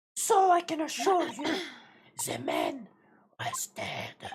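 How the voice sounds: In a put-on character voice, the speaker stretches words out at a very slow pace with an extremely high pitch.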